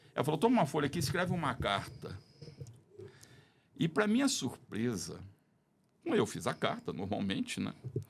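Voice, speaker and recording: His voice carries vocal fry and moves at a moderate pace. This man's pitch rises and falls over a very wide range. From Brazil, Belo Horizonte. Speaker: podcast guest. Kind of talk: casual chat.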